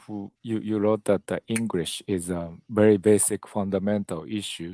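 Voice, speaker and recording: Fairly low in pitch, a man speaks at a moderate pace with hardly any pauses and ordinary pitch variation. His tone is dark and mellow, in a very clean recording with a silent background. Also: dry, close sound with no echo. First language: Japanese. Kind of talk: panel discussion. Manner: halting.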